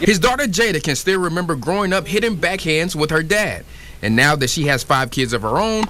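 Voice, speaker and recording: Music plays in the background as a man with a high pitch speaks in very wide pitch swings. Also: very even loudness. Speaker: sports reporter. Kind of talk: TV feature package voiceover.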